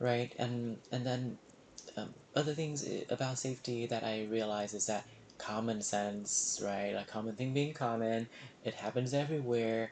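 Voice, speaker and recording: With a Vietnamese accent, a man speaks at a medium pitch and with fairly even intonation. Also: moderate pace. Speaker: emergency medicine resident physician. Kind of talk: reflective monologue. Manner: hesitant, many fillers.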